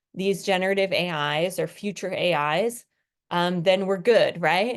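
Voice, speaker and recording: The background stays quiet as a woman speaks at a moderate pace. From New Jersey, US. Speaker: college English teacher. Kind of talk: recorded lecture. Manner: casual, conversational with fillers.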